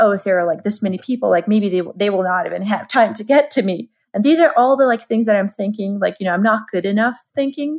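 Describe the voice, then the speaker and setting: A very fast delivery in a Georgian accent, with ordinary pitch variation and hardly any pauses. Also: woman. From Georgia (the country). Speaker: marketing expert. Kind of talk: interview conversation.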